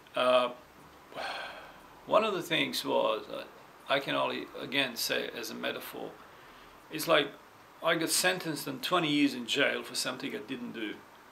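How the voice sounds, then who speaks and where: A man speaks at a moderate pace with long, frequent pauses and big swings in loudness, amid audible room echo and noticeable background noise. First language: not English. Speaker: vlogger sharing personal experience. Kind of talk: personal testimony. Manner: halting, with many repetitions and fillers.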